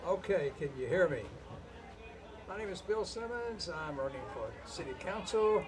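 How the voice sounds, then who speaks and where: A man with a high, lively voice speaks at a moderate pace with long, frequent pauses, heard with audible room echo and noticeable background noise. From Kentucky. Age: 70s. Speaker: city council candidate, retired accountant. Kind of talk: campaign speech at candidates forum. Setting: bar venue with live audience. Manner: halting. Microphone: too far from the mic, hard to hear.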